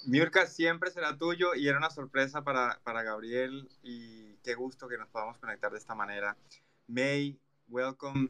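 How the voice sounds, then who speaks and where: Bright and sharp in tone, a man at a medium pitch speaks at a fairly quick pace with ordinary pitch variation. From Colombia. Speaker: podcast co-host. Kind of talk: casual chat. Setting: live audio chat room.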